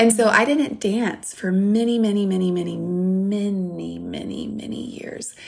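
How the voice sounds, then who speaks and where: Talking with a Southern US accent, a woman keeps a fairly slow pace and hardly any pauses. Her loudness swings widely. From US South, Louisiana. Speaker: author and speaker. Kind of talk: interview.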